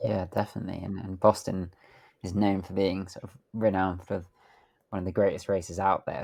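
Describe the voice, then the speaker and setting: Very deep and low in pitch with a dark, mellow tone, a man with a British accent talks fairly quickly in a monotone, flat intonation on a very clean recording with a silent background. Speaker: podcast host. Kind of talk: podcast interview question.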